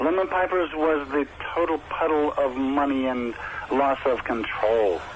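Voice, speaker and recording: With a Rhode Island accent, a man talks fairly slowly in a fairly high voice with ordinary pitch variation over noticeable background noise. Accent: Rhode Island American. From US Northeast, Providence, Rhode Island. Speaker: rock musician. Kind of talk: radio interview.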